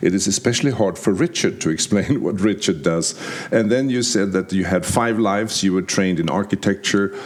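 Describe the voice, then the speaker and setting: Through noticeable background noise, a man talks at a fairly quick pace with very even loudness and a fairly low pitch. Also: ordinary pitch variation. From Sweden. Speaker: podcast host. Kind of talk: interview.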